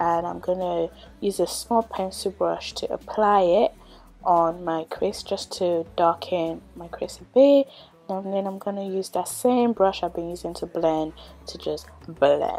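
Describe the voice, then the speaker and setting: A woman's dark, mellow tone at a fairly slow pace. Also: ordinary pitch variation. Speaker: beauty vlogger. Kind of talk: tutorial. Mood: calm, friendly.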